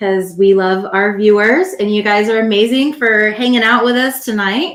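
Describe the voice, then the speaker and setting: Here is a woman with an unremarkable speaking voice and a fairly high pitch. She talks at a moderate pace with ordinary pitch variation. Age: 40s. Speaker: podcast co-host, military veteran. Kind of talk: casual chat.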